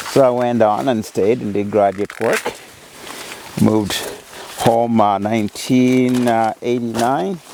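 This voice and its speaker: A man with a Kenyan accent speaks at a fairly slow pace with long, frequent pauses, medium pitch and fairly even intonation over noticeable background noise. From Kenya, Maragoli, Vihiga. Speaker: university professor. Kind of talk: interview answer. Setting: outdoors.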